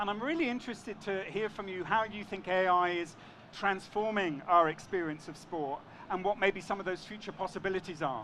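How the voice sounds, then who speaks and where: In a London accent, a man speaks at a high pitch. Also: ordinary pitch variation. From London, England. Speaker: panel moderator. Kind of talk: panel discussion. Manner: hesitant, with fillers and repetitions.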